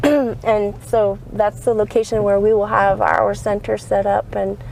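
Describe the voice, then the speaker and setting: A woman's fairly slow speech comes over noticeable background noise. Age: 50s. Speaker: wellness business owner. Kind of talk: casual interview.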